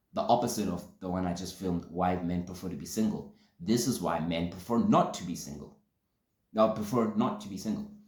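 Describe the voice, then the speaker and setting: Over audible room echo, a man talks at a very fast pace with ordinary pitch variation. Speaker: podcast host. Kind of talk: solo vlog talk to camera.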